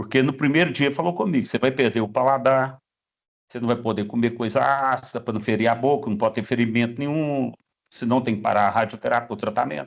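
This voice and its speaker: A man with a normal speaking voice, at a moderate pace. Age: 60s. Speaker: cancer survivor. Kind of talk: testimony.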